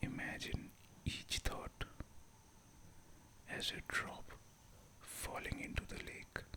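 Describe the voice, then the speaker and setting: Whispering at a very slow pace over noticeable background noise. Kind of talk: guided meditation. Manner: whispered; slow, calm.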